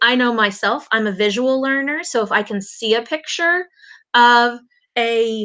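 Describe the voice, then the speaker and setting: A bright, sharp tone carries a US Midwestern accent at a fairly slow pace. Pitch varies in an ordinary way, and the background is quiet. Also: woman. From Indiana, US Midwest. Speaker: elementary school teacher. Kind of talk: online conference presentation. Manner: halting, many fillers.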